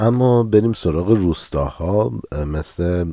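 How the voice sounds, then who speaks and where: Lively intonation marks this man's speech. He keeps to a fairly slow pace. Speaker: podcast host. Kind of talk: solo history podcast narration.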